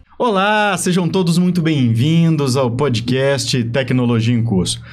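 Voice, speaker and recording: With a normal speaking voice, a man talks at a fairly slow pace and fairly high pitch, his intonation lively and his loudness very even. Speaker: podcast host. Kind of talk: podcast intro.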